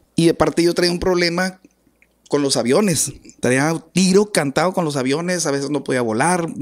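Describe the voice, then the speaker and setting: A man at a moderate pace, with ordinary pitch variation, over a quiet background. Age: 40s. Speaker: accordionist, musician; podcast guest. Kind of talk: interview. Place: studio. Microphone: studio mic.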